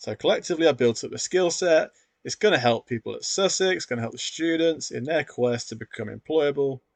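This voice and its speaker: A man with a British accent, a fairly quick pace and very wide pitch swings, recorded with a dry, close sound, no echo and a quiet background. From UK. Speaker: sport science academic and educational YouTuber. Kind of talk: tutorial. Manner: casual, conversational.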